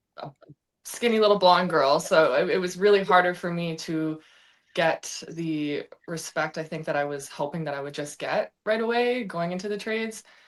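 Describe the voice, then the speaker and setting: A woman with a Canadian accent and an unremarkable speaking voice, fairly low in pitch, at a moderate pace with ordinary pitch variation and big swings in loudness, in a very clean recording with a silent background. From western Canada, Vancouver. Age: 20s. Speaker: welder. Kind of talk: interview.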